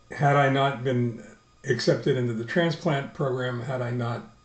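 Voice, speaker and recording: Moderately paced speech from a man, amid music in the background and audible room echo. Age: 70s. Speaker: video blogger, stem cell transplant patient. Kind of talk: personal video diary. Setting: video blog recording. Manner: halting, many fillers and repetitions.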